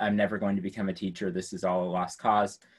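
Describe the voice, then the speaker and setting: With an American accent, a man uses an ordinary speaking voice, fairly low in pitch, talking fairly quickly against a quiet background. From rural US. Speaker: science education professor. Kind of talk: lecture. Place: classroom. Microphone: video call.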